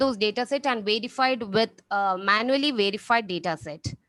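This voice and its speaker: In a very clean recording over a silent background, a woman speaks at a moderate pace with a fairly high pitch. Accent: Keralan. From India, Kerala. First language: Malayalam. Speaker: research scholar. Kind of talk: conference Q&A. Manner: halting.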